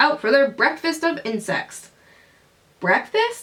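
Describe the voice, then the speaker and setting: A woman puts on a character voice, pitched high, with very wide pitch swings. She speaks at a fairly slow pace. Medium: read story.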